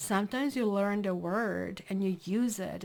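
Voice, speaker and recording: In a very clean recording with a silent background, a woman with a non-native accent speaks at a medium pitch and a fairly slow pace, with ordinary pitch variation. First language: not English. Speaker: tarot reader. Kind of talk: tarot reading. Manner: casual, conversational.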